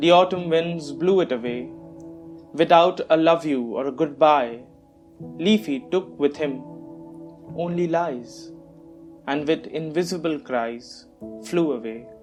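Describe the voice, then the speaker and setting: A man at a fairly slow pace with long, frequent pauses, his pitch fairly high with ordinary variation, music in the background. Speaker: poet. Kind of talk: poetry reading.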